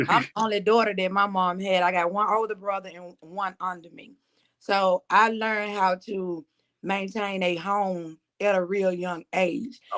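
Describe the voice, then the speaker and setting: A woman with a Southern accent speaks at a fairly slow pace in a monotone, flat intonation. Her loudness swings widely in a very clean recording with a silent background. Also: medium pitch for a woman. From Mississippi Delta. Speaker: musician. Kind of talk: interview.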